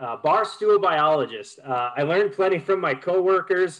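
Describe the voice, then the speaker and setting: Against a quiet background, a man with an Upper Midwest accent speaks at a moderate pace. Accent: Upper Midwest (Minnesota). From Minnesota, Duluth; Minnesota. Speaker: conservation group public relations manager; presenter. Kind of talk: webinar presentation. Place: home room. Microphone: unstable internet connection; webcam.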